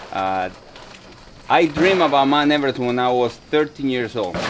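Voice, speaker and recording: A man with a Dominican accent, medium-pitched, at a moderate pace, over noticeable background noise. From Dominican Republic. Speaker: soldier and mountaineer. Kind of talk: motivational talk. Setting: talk to a group of veterans. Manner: halting, many fillers and repeats.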